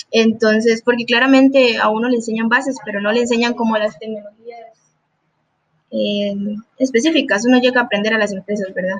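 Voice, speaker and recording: A normal speaking voice from a woman, fairly high in pitch, at a fairly quick pace with fairly even intonation. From Costa Rica. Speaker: junior programmer. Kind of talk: interview.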